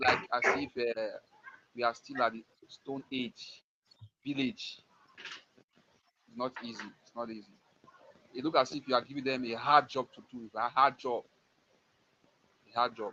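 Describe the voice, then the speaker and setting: With a Nigerian accent, a man talks at a moderate pace, leaving long, frequent pauses. His loudness swings widely while his intonation stays fairly even. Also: medium pitch for a man. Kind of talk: live stream talk show. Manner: halting.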